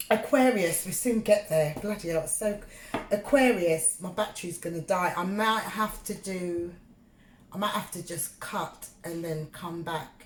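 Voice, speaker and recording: Heard through noticeable background noise, the speaker has a London accent and big swings in loudness. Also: woman, medium pitch for a woman, ordinary pitch variation, fairly slow pace. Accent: British English (London). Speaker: tarot reader. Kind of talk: tarot reading monologue. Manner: halting, filler-heavy; casual, conversational.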